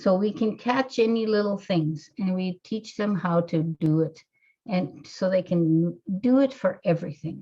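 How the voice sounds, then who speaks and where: A woman speaks at a fairly slow pace, her pitch in the medium range with ordinary variation. Her voice is somewhat breathy, with a dark, mellow tone. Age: 60s. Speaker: hypnotherapist. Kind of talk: interview. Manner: halting.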